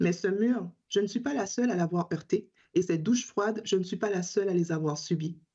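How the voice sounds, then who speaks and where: Talking at a fairly quick pace, a woman with a medium pitch and ordinary pitch variation sounds somewhat breathy, with a dark, mellow tone. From Caribbean island. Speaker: teacher and advocacy group spokesperson. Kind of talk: prepared testimony at a parliamentary hearing. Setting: parliamentary committee hearing.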